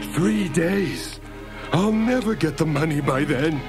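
Loud music plays in the background as a man does a put-on character voice at a fairly high pitch and a fairly slow pace. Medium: read story. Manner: anxious, fretful, rambling.

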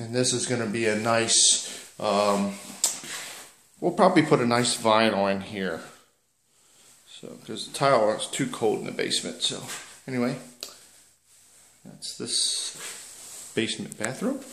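A man speaks at a fairly slow pace with lively intonation and long, frequent pauses, amid audible room echo and light background noise. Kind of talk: casual home tour narration. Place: home room. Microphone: phone near.

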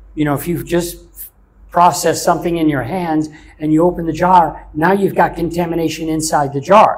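Fairly quick and monotone, a man with a high voice speaks in an American accent. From US South. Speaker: chef; interviewee. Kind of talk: interview. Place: office. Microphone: lapel.

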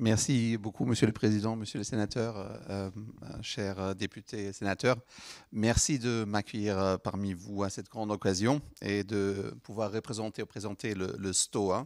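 A man speaks with a non-native accent at a fairly slow pace, in a fairly low pitch with fairly even intonation. The background is quiet and the sound is dry with no echo. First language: not French (speaking French). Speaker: head of a parliamentary science foresight unit; speaker. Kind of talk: formal address at a round table. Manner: halting, many hesitations. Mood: polite, slightly hesitant. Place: hall. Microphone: handheld.

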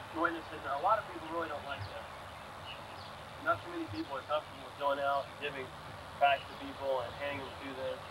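Talking at a very fast pace with big swings in loudness, a man shows ordinary pitch variation against noticeable background noise. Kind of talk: devotional talk to a group. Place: open country. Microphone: old recording.

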